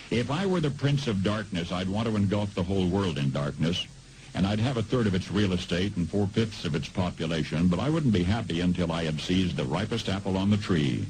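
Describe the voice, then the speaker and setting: The speaker talks at a fairly quick pace with lively intonation. Noticeable background noise sits behind the voice. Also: man, very deep, low pitch for a man. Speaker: radio commentator. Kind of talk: dramatic spoken-word monologue.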